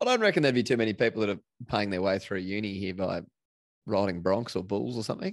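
A man with an Australian accent, fairly low in pitch, at a very fast pace against a quiet background. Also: fairly even intonation. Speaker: podcast host. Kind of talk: casual chat.

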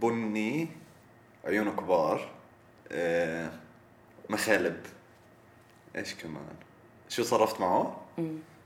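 A man at a very slow pace, with long, frequent pauses, very wide pitch swings and audible room echo. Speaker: guest, university student. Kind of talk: casual chat.

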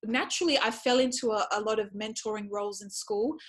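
A woman speaks at a fairly quick pace in an Australian accent. Her pitch is fairly high, with ordinary pitch variation. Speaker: educator and speaker. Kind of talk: interview.

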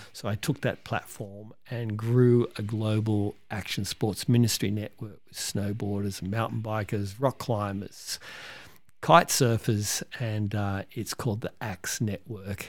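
A man at a fairly low pitch with an Australian accent, at a fairly slow pace, in a very clean recording with a silent background. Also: fairly even intonation. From Sydney, Australia. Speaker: ministry founder. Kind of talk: interview.

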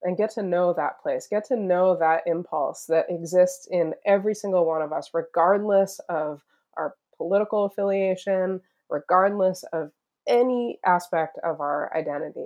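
This is a plain, everyday voice, moving at a moderate pace with ordinary pitch variation. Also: woman, medium pitch for a woman. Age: 40s. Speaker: retreat center founder and foundation trustee. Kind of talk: casual interview.

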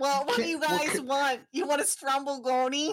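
This is a put-on character voice in a Brooklyn accent. It moves at a moderate pace. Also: woman. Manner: pleading.

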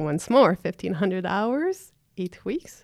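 In an ordinary speaking voice, a woman talks at a medium pitch, recorded very cleanly against a silent background with a dry, close sound and no echo. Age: 30s. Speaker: apprentice electrician. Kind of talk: interview. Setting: studio.

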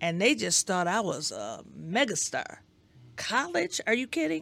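On a very clean recording with a silent background, a woman with an American accent speaks at a fairly slow pace with vocal fry. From Detroit, Michigan. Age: 60s. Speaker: educator and school board member. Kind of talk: interview.

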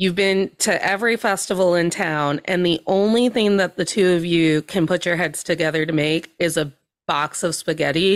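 In a normal speaking voice, the speaker talks at a moderate pace with ordinary pitch variation and very even loudness. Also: woman, fairly low pitch for a woman. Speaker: podcast guest. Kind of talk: casual comedic chat. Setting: video call.

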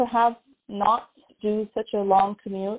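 At a moderate pace, a woman talks at medium pitch in a dry, close sound with no echo.

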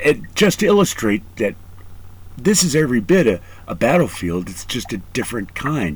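A man's somewhat breathy, medium-pitched voice with very wide pitch swings at a moderate pace. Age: 40s. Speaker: podcast host and Marine veteran. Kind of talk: casual interview.

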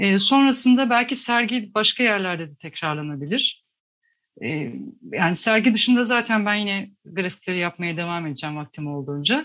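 The speech moves at a moderate pace with very wide pitch swings. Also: woman, medium pitch for a woman. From Tokat, Turkey. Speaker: graphic designer and climate activist. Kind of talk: radio interview. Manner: hesitant, many fillers.

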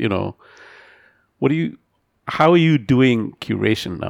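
A man with a normal speaking voice, medium pitch and lively intonation, at a fairly slow pace, in a dry, close sound with no echo. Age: middle-aged. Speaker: podcast host. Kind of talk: interview.

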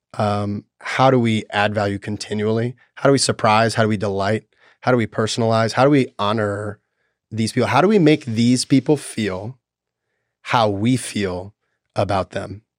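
A man's plain, everyday voice with an American accent, fairly low in pitch, fairly even in intonation, at a moderate pace, in a very clean recording with a silent background and a dry, close sound with no echo. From Tennessee, US South. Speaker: sales executive. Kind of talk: interview conversation.

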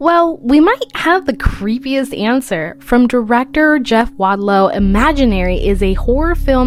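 A woman's high-pitched voice over music in the background. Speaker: movie news segment presenter. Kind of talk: news reading.

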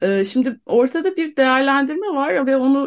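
A woman's voice with very wide pitch swings. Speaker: guest, wife of detained defendant. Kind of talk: radio interview.

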